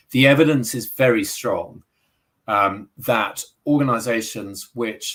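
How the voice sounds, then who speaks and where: With a British accent, the man talks. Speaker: sustainability executive, accountant. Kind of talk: interview. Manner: halting, many fillers and repetitions.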